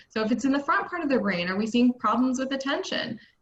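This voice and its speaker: A woman with an American accent, high-pitched, with lively intonation. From US East Coast. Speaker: neuropsychologist. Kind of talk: webinar presentation. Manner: fast.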